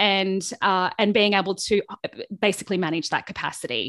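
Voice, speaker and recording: A woman's medium-pitched voice with an Australian accent, at a moderate pace, in a very clean recording with a silent background and a dry, close sound free of echo. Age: 40s. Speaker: small business coach. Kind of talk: interview conversation.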